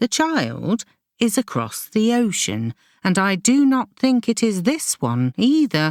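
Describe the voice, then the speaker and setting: Put-on character voice with very wide pitch swings and very even loudness, in a very clean recording with a silent background and a dry, close sound with no echo. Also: woman, fairly high pitch for a woman, fairly slow pace. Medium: read story. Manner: calm, measured.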